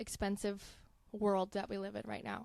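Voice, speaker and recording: A woman speaks with an American accent. Her pitch is medium and her pace fairly quick. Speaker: marketing manager. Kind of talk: casual chat.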